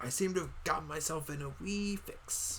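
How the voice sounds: A man puts on a character voice at a fairly high pitch. Background noise is clearly heard. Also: moderate pace.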